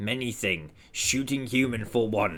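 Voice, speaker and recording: Using a put-on character voice, a man speaks at a moderate pace in a raspy voice of medium pitch. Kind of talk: broken, simple speech. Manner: disdainful, gruff.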